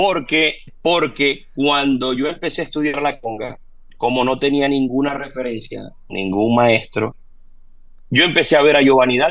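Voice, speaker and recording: Speaking fairly slowly, a man uses a fairly high voice with ordinary pitch variation. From Venezuela, Maracaibo. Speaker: percussionist and percussion teacher. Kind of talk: interview.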